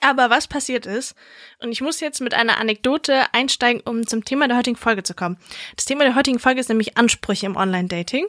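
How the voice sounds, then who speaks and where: A woman's very fast, high-pitched speech with ordinary pitch variation, dry and close with no echo. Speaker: podcast co-host. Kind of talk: casual chat. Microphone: new microphone.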